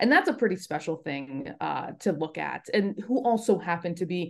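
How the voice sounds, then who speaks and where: Speaking at a moderate pace with a General American accent, a woman has an ordinary speaking voice and a fairly low pitch. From US West Coast, Los Angeles. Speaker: sports broadcaster. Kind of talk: casual interview.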